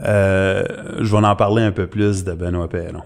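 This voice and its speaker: At a very slow pace, a man with a fairly low pitch and fairly even intonation speaks on a very clean recording with a silent background. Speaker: conspiracy commentator. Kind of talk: casual chat.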